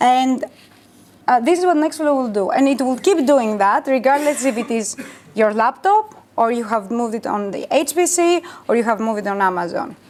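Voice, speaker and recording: A fairly quick delivery with very wide pitch swings over noticeable background noise. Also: woman, high pitch for a woman. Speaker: bioinformatics engineer, conference speaker. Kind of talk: conference talk with Q&A. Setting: workshop stage with audience. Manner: fast; hesitant, many fillers.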